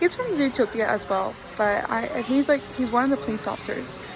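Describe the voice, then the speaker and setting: Noticeable background noise and audible room echo both surround a woman speaking. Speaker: vlogger. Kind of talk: casual vlog narration. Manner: filler-heavy, casual (um, like).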